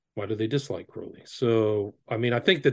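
A man with an American accent talks at a fairly quick pace, sounding somewhat breathy. The background is quiet. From Northern California. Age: 50s. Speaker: author and occult researcher. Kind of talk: interview. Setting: video call.

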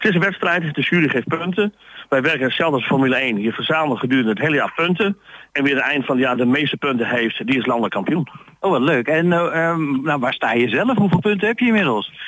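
Talking at a very fast pace, a man uses lively intonation and a fairly high pitch while keeping his loudness very even. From Netherlands, Groningen (Stadskanaal). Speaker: market trader. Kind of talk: radio interview. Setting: outdoor market.

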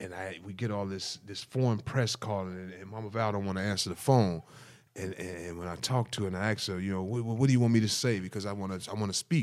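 Speaking at a very fast pace, a man with an American accent has a fairly low pitch and fairly even intonation. His loudness swings widely, and the recording is very clean with a silent background. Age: 40s. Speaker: political candidate. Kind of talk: casual interview. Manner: halting, repeats words.

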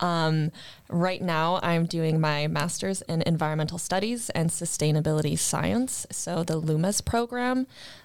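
A woman with an ordinary speaking voice talks at a fairly slow pace and fairly low pitch, with ordinary pitch variation and very even loudness, in a very clean recording with a silent background. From Canada, Gatineau near Ottawa. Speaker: master's student. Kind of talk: roundtable discussion.

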